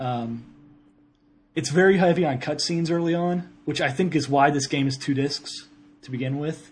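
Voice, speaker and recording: A somewhat breathy man at a moderate pace, with fairly even intonation. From Ohio. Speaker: podcast co-host, video game talk. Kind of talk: casual banter.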